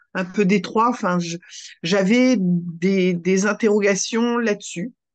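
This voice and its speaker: The background stays quiet. Words come out at a very slow pace. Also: woman. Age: 60s. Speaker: retired teacher sharing diet program testimony. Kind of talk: testimony interview. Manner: hesitant, many fillers.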